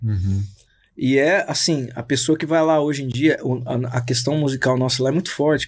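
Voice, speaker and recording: A male voice, very clean recording, silent background. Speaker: pastor and musician. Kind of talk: casual chat. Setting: studio. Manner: slangy, informal.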